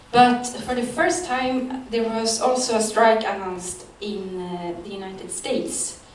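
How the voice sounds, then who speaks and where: Noticeable background noise sits behind a woman with a Swedish accent whose fairly high voice has ordinary pitch variation and big swings in loudness as she talks at a fairly slow pace with hardly any pauses. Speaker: journalist. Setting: stage with audience.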